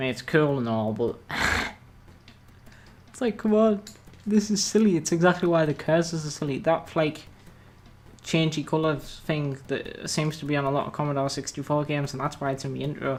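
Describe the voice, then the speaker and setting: A man with a British accent, fairly high in pitch, at a moderate pace with ordinary pitch variation and long, frequent pauses. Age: young. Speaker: gameplay YouTuber. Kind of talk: casual gameplay commentary.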